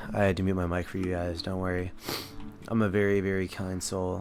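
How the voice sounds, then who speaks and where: The speech moves at a fairly quick pace, with audible room echo and noticeable background noise. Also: man. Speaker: commentary YouTuber. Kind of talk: casual gameplay commentary. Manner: casual, low-enthusiasm.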